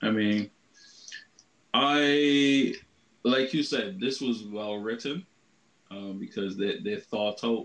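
A man speaks at a fairly slow pace with medium pitch in a plain, everyday voice. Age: 30s. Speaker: anime podcast co-host. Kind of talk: casual chat.

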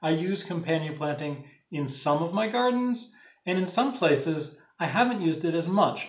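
A man's high-pitched voice at a moderate pace, with audible room echo against a quiet background. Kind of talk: tutorial. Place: home room. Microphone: phone near.

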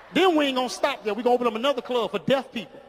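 A loud, animated man talks at a very fast pace with an extremely high pitch and lively intonation, over light background noise. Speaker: stand-up comedian. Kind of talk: stand-up comedy set, joking with a live crowd. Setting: stage with audience. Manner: animated, loud, crowd-working; cocky, rapid-fire punchlines. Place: stage. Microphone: handheld.

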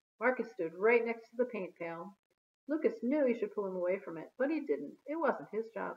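Heard over a quiet background is a natural reading voice.

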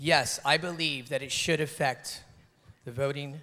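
This man's voice sits fairly high, with a bright, sharp tone. He talks at a moderate pace with ordinary pitch variation. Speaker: pageant contestant. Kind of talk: pageant answer speech. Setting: stage with audience. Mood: earnest, measured. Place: stage. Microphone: handheld.

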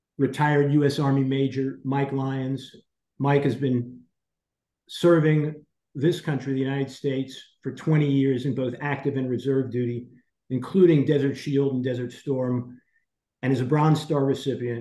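The room echo is audible as a man talks at a moderate pace. His intonation is monotone and flat. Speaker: program host. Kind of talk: introducing guest speakers. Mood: serious, earnest. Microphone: video call.

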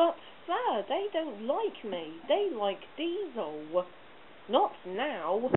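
A natural voice reading aloud

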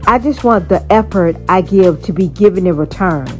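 Music plays behind the speech. The woman keeps a fairly slow pace. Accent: American. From Miami, Florida. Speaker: poet. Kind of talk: spoken word poetry.

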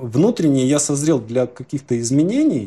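Somewhat breathy with a dark, mellow tone, the voice moves at a fairly slow pace. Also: man. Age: 40s. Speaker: image consulting client; interviewee. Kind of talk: interview; interview answer. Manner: halting. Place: home room. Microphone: lapel.

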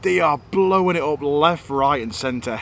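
A man speaks with ordinary pitch variation. The sound is dry with no echo, and there is light background noise. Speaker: angler vlogger. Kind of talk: casual vlog chat. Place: waterside. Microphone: phone near.

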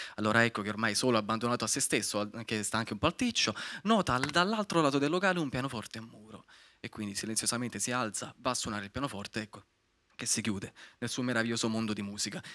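A man speaks very fast in a bright, sharp tone, his pitch varying in an ordinary way. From Naples, Italy; Italy. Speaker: young screenwriter pitching; guest. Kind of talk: pitch presentation. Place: hall. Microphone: handheld.

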